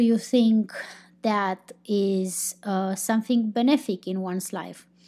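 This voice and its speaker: Speaking very slowly with a Romanian accent, a woman uses a fairly high pitch and ordinary pitch variation in a very clean recording with a silent background. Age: 30s. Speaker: podcast host. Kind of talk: casual podcast monologue. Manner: halting, unscripted.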